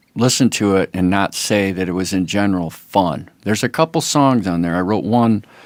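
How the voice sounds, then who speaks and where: On a very clean recording with a silent background, a man with fairly low pitch talks at a moderate pace, the sound dry and close with no echo. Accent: American. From US Midwest, Toledo, Ohio. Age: 60s. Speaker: musician. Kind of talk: casual chat. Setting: podcast interview.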